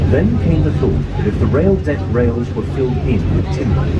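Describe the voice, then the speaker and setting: The voice moves at a moderate pace with ordinary pitch variation. Loud background noise runs underneath. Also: man. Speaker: boat trip guide. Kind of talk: tour commentary. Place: boat.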